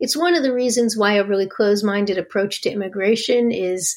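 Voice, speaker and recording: A woman with an American accent talks in an ordinary speaking voice, at a medium pitch with fairly even intonation. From US Northeast, New Jersey. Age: 50s. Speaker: think tank executive director. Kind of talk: interview.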